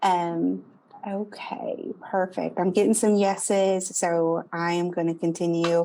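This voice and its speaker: With a Southern US accent, a woman speaks very slowly at a fairly low pitch. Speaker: marketing speaker. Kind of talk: presentation. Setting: Zoom video call. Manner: animated.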